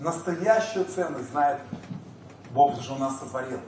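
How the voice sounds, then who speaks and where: Noticeable background noise and audible room echo surround a man's fairly high-pitched voice. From former Soviet Union. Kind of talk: lecture. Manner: animated.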